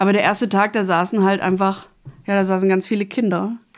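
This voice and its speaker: The recording is very clean with a silent background. A woman talks at a fairly quick pace in a medium pitch. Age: 30s. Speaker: social worker and master carpenter. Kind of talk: interview. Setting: studio.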